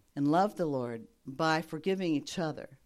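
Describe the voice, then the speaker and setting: On a very clean recording with a silent background, a woman speaks. Her pace is fairly slow, and her pitch swings very widely. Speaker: retired missionary. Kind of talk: testimony.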